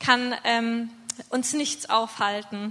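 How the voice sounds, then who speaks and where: The intonation is monotone and flat. Noticeable background noise sits behind the voice. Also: woman. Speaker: mission team leader. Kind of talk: testimony. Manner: halting.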